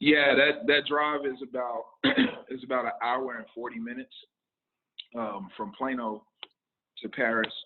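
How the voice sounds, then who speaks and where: Male speech with ordinary pitch variation. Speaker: Bible study leader. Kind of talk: Bible study / casual talk. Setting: restaurant (Denny's), livestream. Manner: loud; halting, many fillers.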